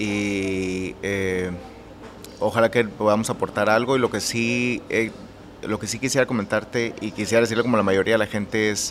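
A man speaks in a flat monotone. There is noticeable background noise. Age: 30s. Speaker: architect and interior designer. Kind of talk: interview. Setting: his own café.

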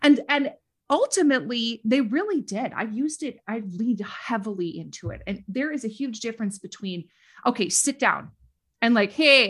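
A woman with a Minnesota accent, high-pitched and bright, sharp in tone, at a moderate pace, in a very clean recording with a silent background. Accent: Minnesota Midwestern. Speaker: educator and social media creator. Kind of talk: casual interview chat.

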